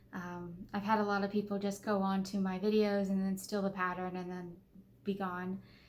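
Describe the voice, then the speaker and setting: A woman talks at a medium pitch in a monotone, flat intonation. Audible room echo is present. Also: moderate pace. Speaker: doll clothes sewing vlogger. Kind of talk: casual vlog outro. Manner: halting, stumbles over words; frequent filler words and self-corrections.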